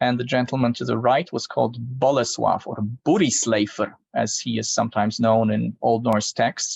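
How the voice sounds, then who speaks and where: A man speaks with a Polish accent and vocal fry. His intonation is fairly even. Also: medium pitch for a man, moderate pace. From Poland. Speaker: archaeologist. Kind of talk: podcast interview, presentation with slides.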